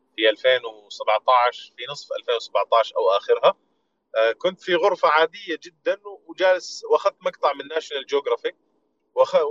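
The voice comes at a fairly slow pace in a dry, close sound with no echo. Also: man. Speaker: voice-over artist. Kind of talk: casual chat. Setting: online audio room.

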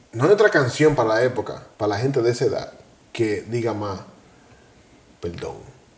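Somewhat breathy, a man at a medium pitch talks at a moderate pace with lively intonation, leaving long, frequent pauses. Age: 40s. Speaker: podcast co-host. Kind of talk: casual chat.

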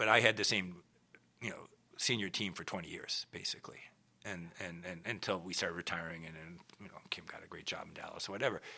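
Whispering at a very fast pace, a man speaks with an American accent. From US Midwest, Minneapolis. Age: 60s. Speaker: retired orchestra executive. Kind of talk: interview. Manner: halting, many repetitions.

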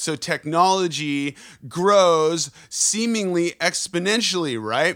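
A bright, sharp, animated voice with lively intonation at a fairly slow pace, in a very clean recording with a silent background. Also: man. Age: 30s. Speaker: podcast host and touring musician. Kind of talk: casual chat.

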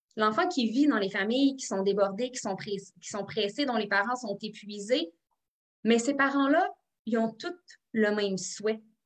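A woman with an unremarkable speaking voice talks at a fairly slow pace and a fairly high pitch. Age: 30s. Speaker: psychoeducator and author. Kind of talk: interview. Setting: video call.

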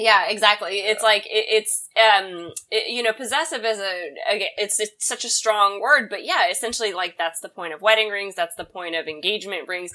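With hardly any pauses, a woman speaks in a bright, sharp tone, her loudness swinging widely while her pitch varies in an ordinary way. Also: medium pitch for a woman, moderate pace. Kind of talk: casual comedic banter.

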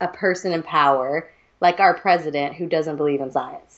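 At a fairly quick pace, a woman with a Southern US accent talks in a fairly low voice. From US South, Georgia. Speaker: podcast co-host. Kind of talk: casual chat. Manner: animated.

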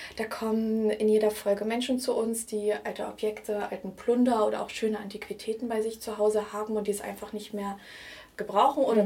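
At a fairly quick pace, an ordinary speaking voice delivers the words. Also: woman. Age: 20s. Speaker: vintage blogger and art historian. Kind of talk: interview.

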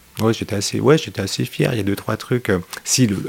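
A man with a fairly low voice and ordinary pitch variation speaks over noticeable background noise. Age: 40s. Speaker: guitarist. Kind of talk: casual chat.

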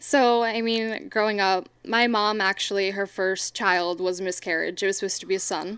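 With an unremarkable speaking voice, a woman talks at a moderate pace with hardly any pauses, medium pitch and fairly even intonation on a very clean recording with a silent background. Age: 20s. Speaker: student and streamer. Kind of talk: casual interview.

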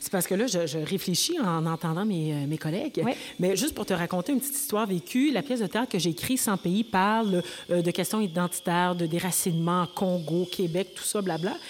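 A woman talks in a normal speaking voice at a medium pitch. Her pace is fairly quick and her intonation lively. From Quebec, Rouyn-Noranda (Abitibi). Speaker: actress and writer. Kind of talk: panel discussion. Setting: stage with audience.

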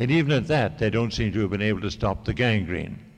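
A man talks in a normal speaking voice at a medium pitch. His intonation is lively. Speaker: novelist. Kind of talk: reading aloud. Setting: stage with audience.

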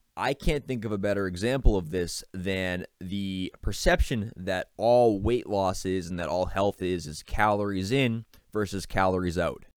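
A man with an American accent speaks in an ordinary speaking voice at fairly low pitch, with ordinary pitch variation. His pace is moderate with hardly any pauses, in a very clean recording with a silent background. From Boston area, Massachusetts. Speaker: podcast host. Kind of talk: solo podcast monologue. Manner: casual, conversational.

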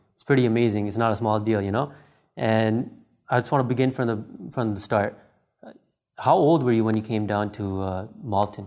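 An ordinary speaking voice from a man, medium pitch, fairly even intonation, moderate pace and big swings in loudness. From Canada. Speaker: podcast interviewer. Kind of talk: interview.

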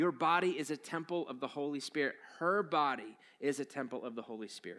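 The voice has a bright, sharp tone, ordinary pitch variation and a fairly quick pace. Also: man. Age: 40s. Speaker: pastor. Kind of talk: sermon. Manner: casual, conversational.

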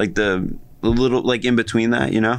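Man with an American accent, medium pitch and a fairly slow pace. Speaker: podcast co-host. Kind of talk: casual chat.

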